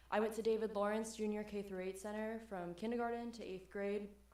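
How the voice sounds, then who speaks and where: Woman with an American accent, medium pitch and monotone, flat intonation, amid noticeable background noise and audible room echo. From Miami, Florida. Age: young. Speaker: resident speaking at public comment. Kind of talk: public comment at city meeting. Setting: city planning commission meeting.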